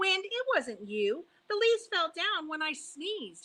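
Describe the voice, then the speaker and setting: A woman puts on a character voice that is squeaky and extremely high in pitch. She swings very widely in pitch at a moderate pace. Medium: read story. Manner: stubborn.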